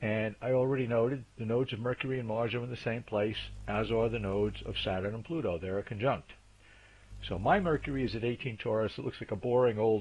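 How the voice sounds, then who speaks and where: A somewhat breathy man with an American accent, at a fairly quick pace. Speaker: astrologer presenting a video series. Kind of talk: lecture. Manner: fast.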